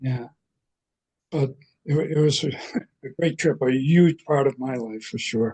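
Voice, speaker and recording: A man speaks at a fairly slow pace in a medium pitch, with a dark, mellow, somewhat breathy tone and ordinary pitch variation. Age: 80s+. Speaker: Irish folk musician. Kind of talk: interview. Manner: halting.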